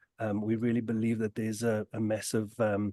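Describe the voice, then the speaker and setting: A dark, mellow tone in a South African accent, fairly quick in pace, dry and close with no echo against a quiet background. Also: man. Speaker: tech company innovation lead. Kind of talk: webinar discussion. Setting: video webinar. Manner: halting, many fillers.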